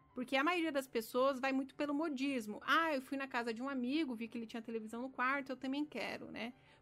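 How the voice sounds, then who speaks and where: A woman's high voice in a Brazilian accent at a very fast pace, hardly any pauses and fairly even intonation, with music in the background. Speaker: architect and podcast host. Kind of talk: solo podcast talk.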